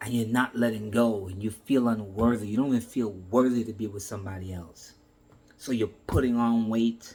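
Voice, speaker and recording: In a normal speaking voice, a man of medium pitch talks at a moderate pace with fairly even intonation and big swings in loudness. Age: 60s. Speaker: motivational speaker. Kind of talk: motivational talk.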